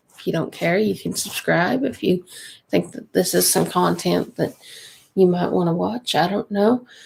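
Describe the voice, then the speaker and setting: With a Kentucky accent, a woman talks at a moderate pace. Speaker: budgeting vlogger, mom. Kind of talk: casual livestream chat. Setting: home livestream at night.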